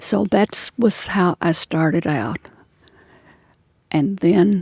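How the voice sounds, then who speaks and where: Very slow and full of lively intonation, a woman's fairly low voice with vocal fry sounds dry and close, with no echo. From western Kentucky (Union County). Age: 80s+. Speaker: elderly interviewee recalling farm life. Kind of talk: oral history interview.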